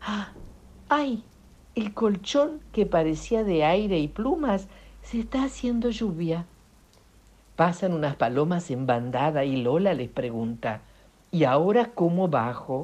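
A woman talks at a very slow pace, with long, frequent pauses. Her fairly low pitch makes very wide swings. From Italy. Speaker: children's author and volunteer reader. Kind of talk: storytelling for children. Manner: animated.

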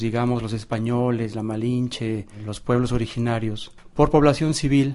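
This man speaks with a Mexican accent at a moderate pace and a medium pitch. His tone is dark and mellow, with fairly even intonation. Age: 50s. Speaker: visual artist. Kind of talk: documentary interview.

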